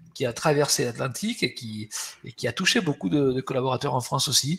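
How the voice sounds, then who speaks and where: A man's somewhat breathy, fairly high voice, fairly quick, with lively intonation. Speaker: HR webinar host. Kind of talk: webinar presentation. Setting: webinar. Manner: hesitant, many repetitions.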